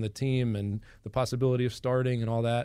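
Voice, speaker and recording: A man with an American accent speaks very fast in a flat monotone, on a very clean recording with a silent background. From Boston, Massachusetts. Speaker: Orthodox priest. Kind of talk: radio interview.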